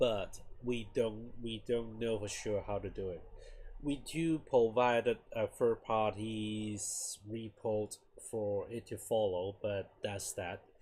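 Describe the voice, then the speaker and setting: Somewhat breathy speech comes at a very slow pace with fairly even intonation. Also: man, medium pitch for a man. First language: not English. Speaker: game developer streamer. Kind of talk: casual live stream talk. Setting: live stream. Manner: halting, many restarts and fillers.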